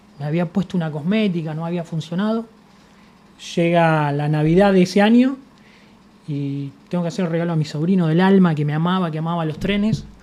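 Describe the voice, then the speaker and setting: The voice has a dark, mellow tone and a Buenos Aires accent. It moves at a fairly quick pace with ordinary pitch variation. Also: man, high pitch for a man. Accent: Rioplatense Spanish (Buenos Aires). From Argentina, Buenos Aires (La Boca). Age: 50s. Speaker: industrial sculptor. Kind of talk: interview, personal storytelling. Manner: casual, conversational.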